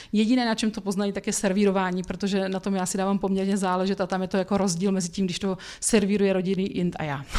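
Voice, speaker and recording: With hardly any pauses, a woman rushes along at a very fast pace in a dark, mellow, medium-pitched voice that stays monotone and flat. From Czech Republic, Brno. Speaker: food blogger and cooking teacher. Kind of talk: casual interview. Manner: hesitant, many fillers.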